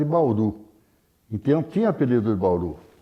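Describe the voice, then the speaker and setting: This man's voice makes very wide pitch swings. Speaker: writer. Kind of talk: interview answer.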